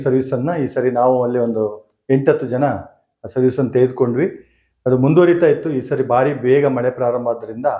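Intonation remains fairly even throughout. The clip features an ordinary speaking voice. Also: man. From Narasimharajapura taluk, Chikkamagaluru, Karnataka. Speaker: retired college principal, farmer. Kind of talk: testimony.

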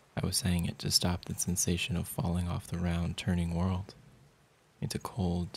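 Speaking at a moderate pace, a man has a very deep, low pitch and a somewhat breathy voice. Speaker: poetry reader. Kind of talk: poem reading, measured and intimate, like a hushed spoken-word narration.

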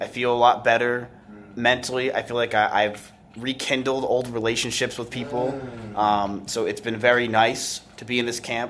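A man at a moderate pace with monotone, flat intonation, over light background noise. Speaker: streamer. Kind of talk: casual vlog chat. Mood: relaxed, reflective. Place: office. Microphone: phone near.

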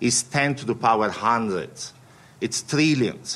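A man with an Italian accent at a fairly slow pace. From Italy. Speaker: quant fund CEO; panelist. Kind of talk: panel talk. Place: meeting room. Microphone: podium.

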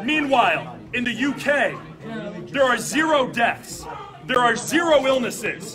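A man speaks in a raised, projected voice at an extremely high pitch, with lively intonation and a passionate tone. Noticeable background noise sits behind him. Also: fairly slow pace. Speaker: consumer advocate. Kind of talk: interview answer. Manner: passionate, indignant. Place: meeting room.

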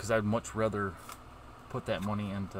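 With noticeable background noise, a man speaks at a fairly low pitch with ordinary pitch variation, the sound dry with no echo. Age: 40s. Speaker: YouTuber opening trading cards; card opening streamer. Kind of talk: casual vlog. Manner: halting. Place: home room.

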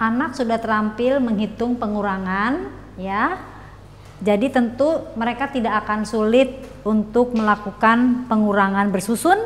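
This woman speaks at a fairly slow pace with ordinary pitch variation. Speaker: teacher. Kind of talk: tutorial. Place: classroom. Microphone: lapel.

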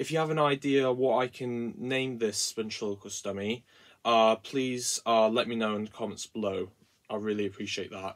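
The background stays quiet while a man talks. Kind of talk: casual vlog chat. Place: workshop. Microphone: phone near.

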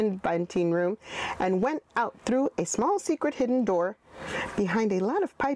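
Plain reading aloud with lively intonation.

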